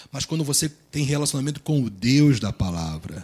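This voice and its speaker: Soft-spoken and calm, a man talks at a moderate pace in a fairly high, somewhat breathy voice. His pitch swings very widely. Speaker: pastor. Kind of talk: sermon. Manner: calm, soft-toned preaching.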